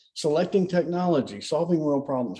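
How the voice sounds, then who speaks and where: The voice has a dark, mellow tone and moves at a very fast pace. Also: man. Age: 60s. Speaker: banking industry veteran. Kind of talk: casual podcast interview. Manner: animated.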